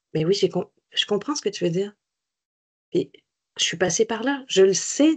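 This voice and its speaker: This woman's voice swings very widely in pitch, with vocal fry. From France. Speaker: cancer survivor and peer-support volunteer. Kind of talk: webinar interview. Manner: animated.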